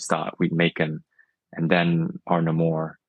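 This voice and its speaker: A man with a non-native accent talks at a fairly slow pace in a very deep, low pitch. The sound is dry and close, with no echo. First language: not English. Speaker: toy figure brand maker. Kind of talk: interview. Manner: clear enunciation.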